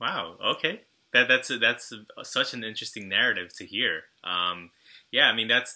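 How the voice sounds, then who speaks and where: A man with an American accent. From Long Island, New York. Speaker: podcast host. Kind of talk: interview.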